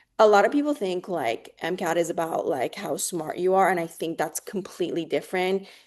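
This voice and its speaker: A woman with a medium pitch speaks at a fairly quick pace with hardly any pauses and lively intonation. Behind her, the background is quiet. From Oregon. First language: not English. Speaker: medical student. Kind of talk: interview.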